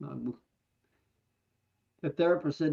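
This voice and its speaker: A man speaks softly. The sound is dry and close, with no echo. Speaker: beekeeper. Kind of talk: casual chat. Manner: soft-spoken. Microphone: too quiet.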